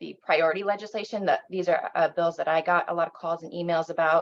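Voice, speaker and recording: A woman speaks in an American accent at a fairly quick pace. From South Bend, Indiana, US. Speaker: state legislator. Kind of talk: public talk on legislation.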